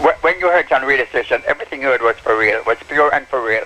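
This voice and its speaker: Very fast speech from a man, set against noticeable background noise. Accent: Jamaican. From Jamaica, Morant Bay, St. Thomas. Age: 70s. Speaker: sound system operator. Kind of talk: interview. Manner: halting, repeats words.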